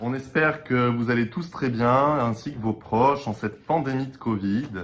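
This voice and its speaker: At a moderate pace, a man talks in a somewhat breathy voice. His pitch varies in an ordinary way. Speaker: opera singer (bass). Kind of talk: casual video introduction. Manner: hesitant, many fillers.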